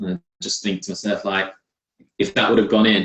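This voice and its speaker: This is a man speaking. His pitch is fairly low. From northern England, Warrington. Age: 20s. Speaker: footballer. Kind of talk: interview. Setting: podcast. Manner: hesitant, many fillers.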